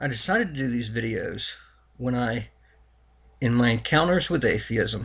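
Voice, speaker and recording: Pausing long and often, a man speaks at a moderate pace with ordinary pitch variation. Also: medium pitch for a man. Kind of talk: religious commentary talk to camera.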